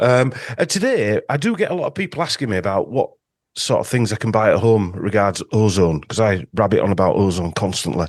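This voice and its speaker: In a dry, close sound with no echo, a man with a Yorkshire accent speaks at a fairly quick pace against a quiet background. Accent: Yorkshire northern English. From Yorkshire, northern England. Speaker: podcast host and ozone clinic owner. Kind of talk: casual interview chat. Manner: hesitant with many fillers.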